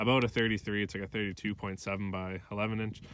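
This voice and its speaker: Over light background noise, a man with a fairly low pitch and a bright, sharp tone speaks with monotone, flat intonation in a dry sound with no echo. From Canadian Prairies. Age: 20s. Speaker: YouTuber. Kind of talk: casual vlog. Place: open country. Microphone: phone near.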